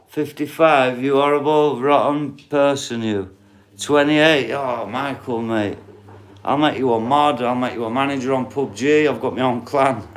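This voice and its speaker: A man with a strong northern English accent, medium pitch, fairly even intonation and fairly slow pace, amid audible room echo. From northern England, Doncaster. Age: 40s. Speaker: livestreamer. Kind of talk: casual chat. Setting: live stream reading viewer comments.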